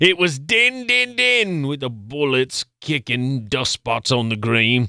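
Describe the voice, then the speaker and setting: Speaking at a fairly slow pace, a man with a British accent uses an animated, theatrical tone at a medium pitch. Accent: put-on British. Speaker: producer. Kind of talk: poem reading in mock British accent. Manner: animated, theatrical, comic; dramatic, rhythmic, gruff barked refrain.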